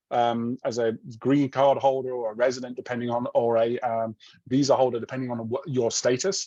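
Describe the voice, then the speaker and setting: A man with a British accent speaks at a fairly quick pace and a medium pitch, his tone dark and mellow. The intonation is monotone and flat, and the sound is dry and close with no echo. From Britain. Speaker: university research professor. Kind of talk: Q&A after a presentation. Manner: hesitant, with many fillers and restarts.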